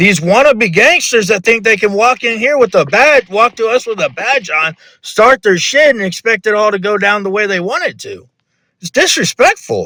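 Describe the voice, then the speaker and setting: A man speaks in a raised, projected voice with high pitch, a bright, sharp tone and lively intonation, at a moderate pace. The sound is dry and close, with no echo. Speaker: roleplay gamer. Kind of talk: heated debate. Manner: loud.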